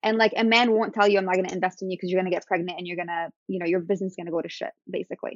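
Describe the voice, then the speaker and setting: At a very fast pace and with hardly any pauses, a woman speaks at medium pitch in a monotone, flat intonation. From Syria. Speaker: food company founder. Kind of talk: interview.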